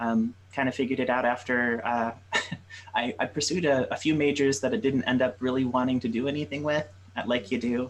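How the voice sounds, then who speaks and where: A man with an American accent and a plain, everyday voice at medium pitch, fairly quick and very even in loudness, with fairly even intonation. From Michigan, Detroit. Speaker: game developer. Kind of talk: interview.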